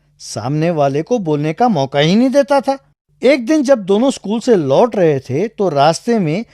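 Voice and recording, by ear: The voice reads text aloud. It sounds natural.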